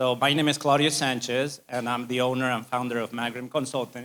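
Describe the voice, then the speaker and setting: A man with a Spanish accent, medium in pitch, fairly quick and flat in a monotone intonation. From Spain. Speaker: civil engineering firm owner. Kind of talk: business presentation.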